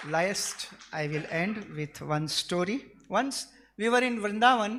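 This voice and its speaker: A man with a Gujarati accent speaks at a high pitch with lively intonation and a bright, sharp tone. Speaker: devotee sharing memories. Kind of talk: tribute speech.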